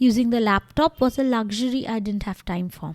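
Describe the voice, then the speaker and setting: In a Bengali accent, a woman talks at a moderate pace and a fairly high pitch, her sound dry and close with no echo in a very clean recording with a silent background. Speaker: doctor, blogger and podcaster. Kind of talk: scripted narration.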